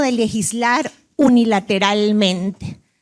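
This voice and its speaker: A woman with a Costa Rican accent at a very slow pace. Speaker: invited international speaker on food labeling. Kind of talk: conference presentation. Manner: halting, with frequent self-corrections.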